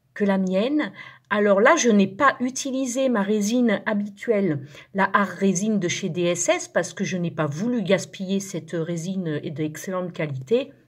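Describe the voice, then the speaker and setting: The voice is somewhat breathy, moving at a fairly slow pace with lively intonation, on a very clean recording with a silent background. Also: woman, medium pitch for a woman. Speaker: resin craft youtuber. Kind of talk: tutorial. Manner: hesitant, many fillers and repeats.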